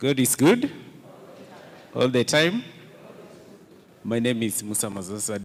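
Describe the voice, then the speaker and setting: A man speaks with ordinary pitch variation. He leaves long, frequent pauses. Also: medium pitch for a man, fairly slow pace. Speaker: cooperative staff member. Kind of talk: self-introduction at meeting.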